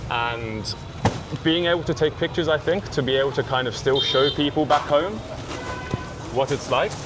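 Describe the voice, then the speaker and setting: A medium-pitched man with a southern English accent, moderate pace and ordinary pitch variation, amid noticeable background noise. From southern England, village near Brighton. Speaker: street photographer. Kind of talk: casual interview on a photowalk. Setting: outdoors at a market. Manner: casual, hesitant with many fillers.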